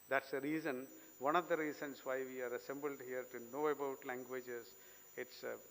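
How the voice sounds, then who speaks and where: In a Keralan accent, a man talks at a fairly quick pace and medium pitch with monotone, flat intonation. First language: Malayalam. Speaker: invited speaker. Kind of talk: lecture.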